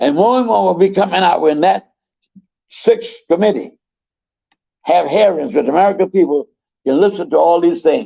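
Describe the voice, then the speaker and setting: A man's high voice with a dark, mellow tone, lively intonation and a moderate pace. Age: 80s+. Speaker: talk show host. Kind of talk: political commentary and interview hosting.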